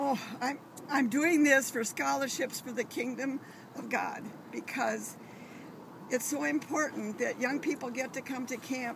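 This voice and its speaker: Over noticeable background noise, a woman speaks at a fairly slow pace and high pitch in a dry sound without echo. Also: fairly even intonation. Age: 80s+. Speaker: grandmother swimming for charity. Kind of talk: interview answer. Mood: earnest, heartfelt. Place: waterside. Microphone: phone near.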